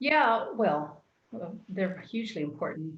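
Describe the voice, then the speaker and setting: In an American accent, a woman speaks at a fairly slow pace, her voice somewhat breathy, with audible room echo. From Texas. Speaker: church youth ministry worker. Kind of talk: casual chat. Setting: live stream. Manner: halting.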